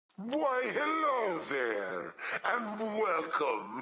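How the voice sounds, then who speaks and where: A put-on character voice with a fairly high pitch. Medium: machinima. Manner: amused, welcoming.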